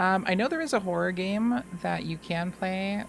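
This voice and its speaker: A woman speaks at a fairly slow pace with ordinary pitch variation. Music plays in the background. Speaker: gaming streamer. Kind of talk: live gameplay commentary. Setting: live stream.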